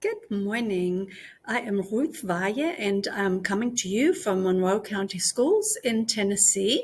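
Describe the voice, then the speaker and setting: Very slowly and with lively intonation, a woman with a German accent speaks in a somewhat breathy voice. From Germany. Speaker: language teacher. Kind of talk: conference presentation.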